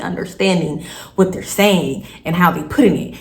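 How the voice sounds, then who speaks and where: A woman with a fairly low pitch speaks at a moderate pace. Audible room echo and noticeable background noise fill the recording. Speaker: storytime vlogger. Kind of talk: casual storytelling vlog. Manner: casual, conversational.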